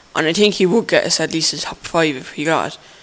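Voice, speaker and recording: The man talks at a fairly quick pace and a high pitch, while noticeable background noise sounds around him. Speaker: football vlogger. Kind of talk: casual monologue. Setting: on a train. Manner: fast.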